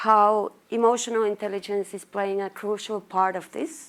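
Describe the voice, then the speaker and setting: A woman speaks with a Finnish accent at a fairly high pitch. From Finland, Lapland. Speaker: marketing manager. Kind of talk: conference talk.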